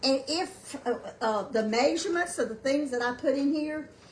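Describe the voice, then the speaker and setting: A loud woman at a moderate pace, with lively intonation and noticeable background noise. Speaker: home cooking livestream host. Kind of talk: live cooking demonstration. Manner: halting, many fillers. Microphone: no microphone, built-in device mic.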